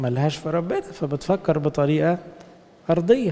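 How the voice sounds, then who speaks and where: A man with an Egyptian accent speaks at a high pitch and a fairly slow pace, with ordinary pitch variation. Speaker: priest. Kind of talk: sermon. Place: church. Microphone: handheld.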